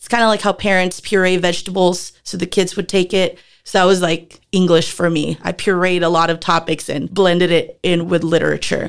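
On a very clean recording with a silent background, a woman with a fairly low pitch talks in a monotone, flat intonation with hardly any pauses. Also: fairly quick pace. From Philippines, moved to Texas at 10. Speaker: former middle school teacher. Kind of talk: casual interview.

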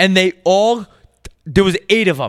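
A man speaks loudly at a high pitch, with a bright, sharp tone and ordinary pitch variation. The recording is very clean, with a silent background. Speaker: comedy podcast co-host. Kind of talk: casual chat.

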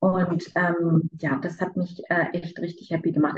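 The voice here is somewhat breathy. It belongs to a woman. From Berlin. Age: 30s. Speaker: coaching client. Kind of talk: interview testimony.

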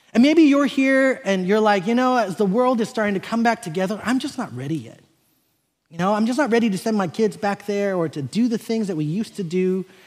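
With an American accent, a man talks at a fairly quick pace in a high pitch, his intonation lively and his tone animated. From South Korea, raised in US from age six. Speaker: pastor. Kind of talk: sermon. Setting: stage with audience.

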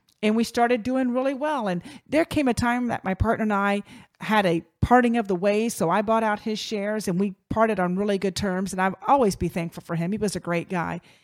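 A woman with an American accent speaks fairly quickly in an animated tone at a medium pitch. Her pitch variation is ordinary, and the sound is dry and close with no echo. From Virginia. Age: 50s. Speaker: podcast host, communications company founder. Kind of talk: solo podcast monologue.

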